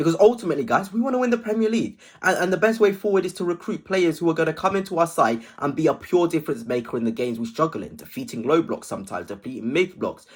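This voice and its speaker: On a very clean recording with a silent background, a man in an English accent talks at a very fast pace with hardly any pauses, high in pitch with very wide pitch swings. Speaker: football fan vlogger. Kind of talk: casual video commentary. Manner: hesitant at times.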